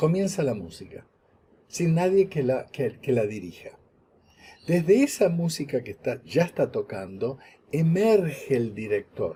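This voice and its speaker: Speaking fairly slowly with an Argentine accent, a man with a dark, mellow tone and fairly high pitch swings his pitch very widely. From Argentina, Buenos Aires. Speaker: lecturer. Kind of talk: lecture. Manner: halting, with fillers and repeats.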